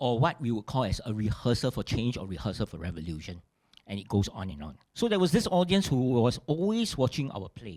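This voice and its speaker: Moving at a fairly quick pace, a man at medium pitch shows very wide pitch swings and big swings in loudness. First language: Mandarin. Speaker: theatre director. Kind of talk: conference panel talk. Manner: halting, many fillers.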